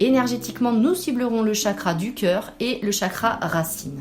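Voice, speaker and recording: Over noticeable background noise, a woman with a fairly high pitch speaks at a fairly slow pace in a calm, gentle tone. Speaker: spiritual guide and meditation host. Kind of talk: spiritual podcast monthly guidance. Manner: calm, gentle, soothing.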